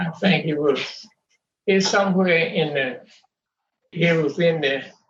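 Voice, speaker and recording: A man at a fairly high pitch, fairly slow in pace, with ordinary pitch variation and audible room echo. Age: 90s. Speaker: family elder. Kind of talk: family interview. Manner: halting.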